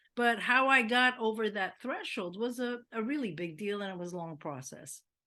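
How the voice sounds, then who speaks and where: A woman speaks with an American accent at a moderate pace. Her tone is bright and sharp, her intonation lively. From US West Coast. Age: 70s. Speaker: musician. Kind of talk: interview. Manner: talkative.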